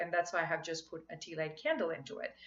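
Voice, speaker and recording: A woman with a Marathi accent speaks in a bright, sharp tone. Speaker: spiritual coach vlogger. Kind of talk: casual vlog talk. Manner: halting.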